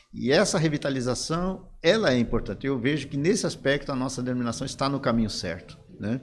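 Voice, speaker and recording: A man with a normal speaking voice talks fairly quickly at medium pitch, with lively intonation and hardly any pauses. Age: 60s. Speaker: pastor and former denominational leader. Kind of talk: interview conversation.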